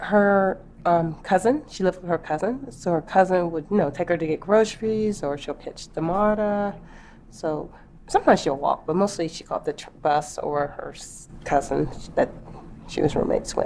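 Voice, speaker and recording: The voice is an unremarkable speaking voice at a moderate pace. Its intonation is lively, with big swings in loudness. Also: woman, medium pitch for a woman. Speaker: friend of the victim. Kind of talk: interview answer. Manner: casual, conversational.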